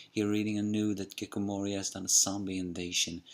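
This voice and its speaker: A man talks quietly at a moderate pace. His pitch is very deep and low. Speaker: anime and manga reviewer. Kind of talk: manga chapter review. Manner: talking a little bit quietly; halting, self-correcting.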